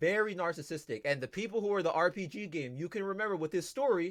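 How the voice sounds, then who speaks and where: At a fairly quick pace, a man talks in a high voice. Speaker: livestreamer. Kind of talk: casual livestream chat. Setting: livestream. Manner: loud, projecting voice; animated.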